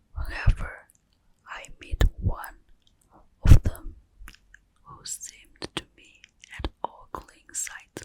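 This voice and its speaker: Whispering very slowly with long, frequent pauses, a woman's loudness swings widely in a dry, close recording with no echo. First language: Mandarin Chinese. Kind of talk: ASMR whispered book reading. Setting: cozy room, home recording. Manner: whispered, soft, slow.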